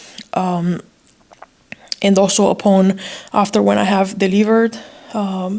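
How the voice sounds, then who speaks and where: A woman with a non-native accent and medium pitch speaks at a fairly slow pace. Her intonation is monotone and flat, with long, frequent pauses. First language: not English. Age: 30s. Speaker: vlogger sharing pregnancy story. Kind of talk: personal testimony vlog. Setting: hospital room. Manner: hesitant, with frequent fillers.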